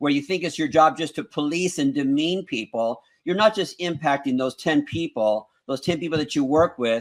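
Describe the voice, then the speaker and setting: In a very clean recording with a silent background, a man speaks at a moderate pace in a fairly high pitch with ordinary pitch variation. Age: 60s. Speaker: motivational speaker and school co-owner. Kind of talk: interview on a talk show. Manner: halting with frequent repeated words.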